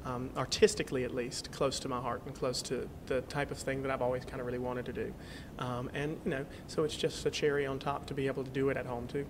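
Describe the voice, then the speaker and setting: A man in a monotone, flat intonation, at a very fast pace. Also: medium pitch for a man. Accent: North Carolina. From North Carolina. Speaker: singer. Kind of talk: interview answer.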